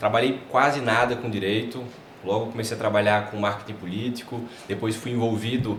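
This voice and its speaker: Over noticeable background noise and audible room echo, a man in a northeastern Brazilian accent talks at a fairly quick pace and medium pitch with flat, monotone intonation. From Brazil, Paraíba (João Pessoa). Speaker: advertising and personal branding specialist. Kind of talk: podcast interview.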